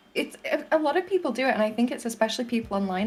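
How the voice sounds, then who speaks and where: Music plays in the background. A speaker with a Manchester accent talks at a very fast pace with lively intonation. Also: woman. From northern England, Manchester area. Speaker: VTuber podcast co-host. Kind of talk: casual chat.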